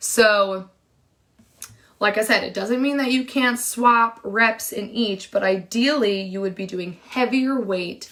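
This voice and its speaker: A woman speaks fairly slowly in a normal speaking voice, her pitch varying in an ordinary way. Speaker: fitness coach. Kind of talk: live-streamed workshop.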